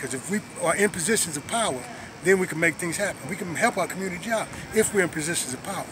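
Someone with an American accent speaks at a very fast pace with ordinary pitch variation. The sound is dry with no echo, though background noise is noticeable. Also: man. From South Los Angeles; Los Angeles. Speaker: former prisoner, community activist. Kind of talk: interview testimony. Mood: earnest, reflective. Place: street. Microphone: phone near.

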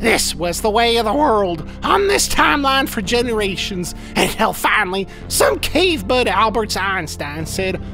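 A man's cartoonish character voice, high-pitched, raised and projected, at a moderate pace over loud background music. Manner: earnest, plainspoken, quirky, sincere.

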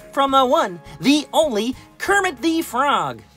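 A female-sounding cartoonish character voice goes at a fairly slow pace over faint music in the background. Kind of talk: puppet comedy. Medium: puppet show. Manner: cheerful, warm, a bit showy.

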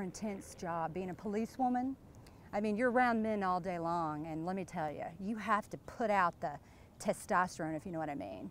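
Lively in her intonation, a woman talks at a moderate pace in a dry sound with no echo and light background noise. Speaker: interviewee. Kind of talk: playful mock interview monologue. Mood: playful, teasing.

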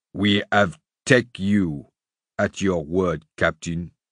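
A man's put-on character voice, very deep and low in pitch, at a very slow pace. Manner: sullen, defiant, venomous.

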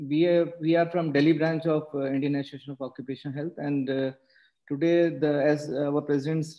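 Over a quiet background, a man speaks at a moderate pace with monotone, flat intonation. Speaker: webinar host introducing the speaker. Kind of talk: formal webinar introduction. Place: home room. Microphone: video call.

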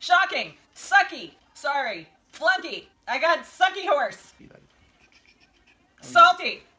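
Projecting a raised voice at an extremely high pitch, a woman speaks at a very slow pace with lively intonation and long, frequent pauses. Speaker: vlogger. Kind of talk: casual talk to camera. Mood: playful, laughing. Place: home room. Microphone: camera far.

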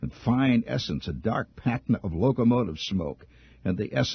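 Reading aloud in a natural voice, intonation lively

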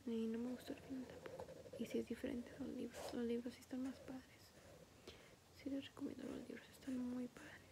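A woman whispers, soft-spoken and at a fairly quick pace. Noticeable background noise is present. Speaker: ASMR creator. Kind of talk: ASMR coloring session, casual talk to camera. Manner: whispered, soft-spoken. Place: home room. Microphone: phone near.

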